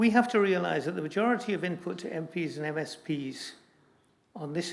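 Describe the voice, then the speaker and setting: A man speaks at a moderate pace with a fairly high pitch. His intonation is lively, and his voice has vocal fry. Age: 80s+. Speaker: church assembly commissioner. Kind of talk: formal debate speech.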